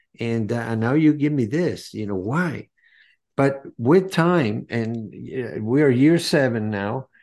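Lively intonation marks this voice with a Spanish accent over a quiet background. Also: man. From Venezuela. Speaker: cancer survivor and health coach. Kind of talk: interview.

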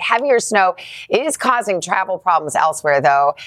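Here is a woman with a plain, everyday voice and a medium pitch. She speaks at a fairly quick pace with lively intonation. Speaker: morning TV news co-anchor. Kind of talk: news reading.

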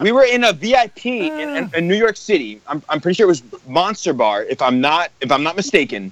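A high male voice at a fairly quick pace with very wide pitch swings, over noticeable background noise. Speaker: musician. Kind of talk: casual chat. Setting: phone call. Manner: animated.

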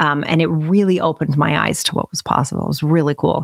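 Speech with vocal fry in an American accent moves at a fairly quick pace, the sound dry and close with no echo. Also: woman. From Utah, US. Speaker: business coach. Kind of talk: interview conversation.

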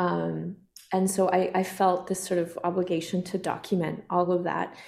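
A woman talks at a moderate pace in a fairly low pitch. Vocal fry runs through her voice. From southern Alberta, Canada (Kainai First Nation). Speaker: filmmaker and actor. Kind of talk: casual chat.

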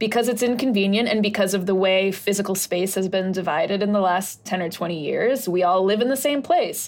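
A woman talks at a fairly quick pace with hardly any pauses, in a normal speaking voice at a medium pitch. Her loudness stays very even. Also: ordinary pitch variation. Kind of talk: casual chat.

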